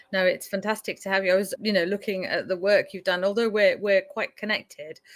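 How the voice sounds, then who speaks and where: With a slight Leicestershire accent, a woman speaks at a fairly quick pace in a medium pitch, on a very clean recording with a silent background and a dry, close sound with no echo. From Leicestershire, England. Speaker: podcast host. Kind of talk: interview.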